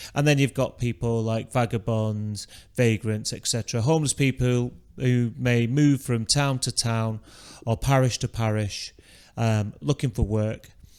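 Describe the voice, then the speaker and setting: Fairly slow and with fairly even intonation, a man talks in a very clean recording with a silent background. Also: medium pitch for a man. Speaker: history teacher. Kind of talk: revision lecture. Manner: monotone; hesitant, many fillers.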